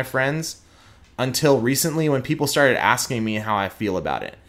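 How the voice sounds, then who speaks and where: With a slight Texan accent, a man talks at a medium pitch with ordinary pitch variation. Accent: Texan twang, slight. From Houston, Texas. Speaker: prosecutor. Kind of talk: casual interview conversation.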